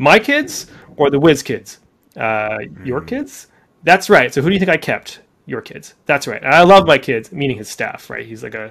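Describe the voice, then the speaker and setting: A man with a Canadian accent speaks at a moderate pace in a fairly high voice with vocal fry. His intonation is lively and his loudness swings widely. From Canada, Deep River, Ontario. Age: 40s. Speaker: startup founder and CEO. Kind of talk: podcast interview.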